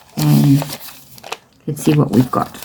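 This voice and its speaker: A woman speaks quietly, her pitch very deep and low. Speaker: craft journaling vlogger. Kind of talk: casual craft tutorial. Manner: quiet, low-key.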